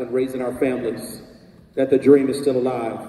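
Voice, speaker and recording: Very fast, monotone, flat speech over noticeable background noise. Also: man. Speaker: pastor. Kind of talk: spoken introduction to the poem, addressing the audience. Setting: live event on a university campus.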